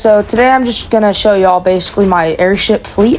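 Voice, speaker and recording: Over noticeable background noise, a woman speaks at a fairly quick pace with a medium pitch and ordinary pitch variation. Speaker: gaming YouTuber. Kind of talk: casual gameplay showcase. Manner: halting, many fillers.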